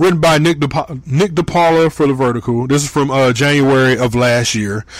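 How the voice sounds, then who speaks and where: A man with an American accent talks at a moderate pace in a fairly high pitch. His is a plain, everyday voice with ordinary pitch variation. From Michigan. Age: 30s. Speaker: podcast host. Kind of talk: casual solo podcast monologue.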